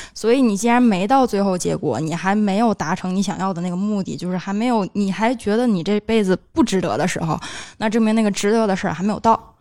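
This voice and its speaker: A woman talks very fast, with hardly any pauses, in a medium-pitched voice. Her tone is dark and mellow, with ordinary pitch variation. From Tianjin. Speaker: podcast co-host. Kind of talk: casual chat.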